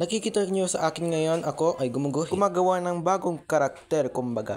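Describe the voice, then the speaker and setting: The speaker is a man. He moves at a fairly quick pace. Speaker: YouTuber and aspiring voice actor. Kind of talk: casual vlog introduction. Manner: fast.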